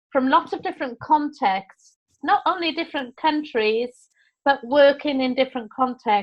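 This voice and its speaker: A woman speaks with a Welsh accent. Her pitch varies in an ordinary way. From Wales. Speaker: teacher trainer. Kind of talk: online course session.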